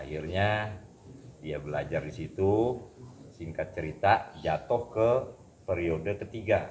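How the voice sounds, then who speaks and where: Somewhat breathy, fairly low male voice at a very slow pace, with ordinary pitch variation and long, frequent pauses. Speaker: pencak silat teacher. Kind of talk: casual conversation.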